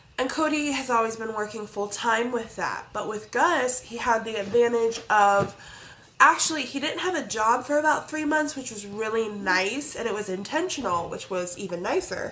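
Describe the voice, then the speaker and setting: Speaking with a fairly high pitch, the woman is heard with audible room echo. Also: moderate pace. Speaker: crafting vlogger. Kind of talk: casual chat. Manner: chatty, rambling with fillers.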